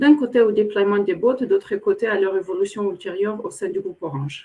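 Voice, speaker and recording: Speech comes at an average speed. The voice rises and falls in a normal way. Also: woman. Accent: slight Moldovan. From Moldova. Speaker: corporate program director. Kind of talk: webinar interview. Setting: online webinar. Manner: hesitant, many fillers.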